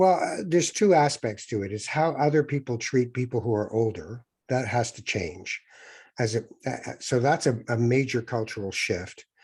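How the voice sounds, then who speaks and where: Against a quiet background, a man with a Canadian accent speaks at a moderate pace and medium pitch, somewhat breathy and with lively intonation. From Canada. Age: 60s. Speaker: author, former broadcaster and spiritual guide. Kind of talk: interview.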